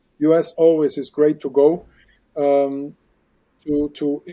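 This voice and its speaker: A man with a fairly high voice speaks in a dark, mellow tone. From Germany. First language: German. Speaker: aquarium expert and underwater filmmaker. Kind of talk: casual interview chat. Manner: halting, repeats words.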